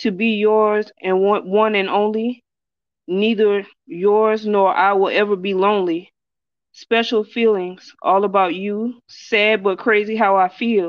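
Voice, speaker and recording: The woman talks at a fairly slow pace. Her intonation stays monotone and flat. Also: medium pitch for a woman. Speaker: poet. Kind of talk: poetry reading.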